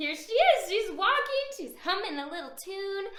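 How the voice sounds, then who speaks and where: Using a squeaky put-on character voice at extremely high pitch, a woman speaks at a moderate pace in a warm, animated tone, with big swings in loudness and audible echo. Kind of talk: children's picture-book read-aloud. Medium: read story. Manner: warm, animated, full of gasps and questions to young listeners.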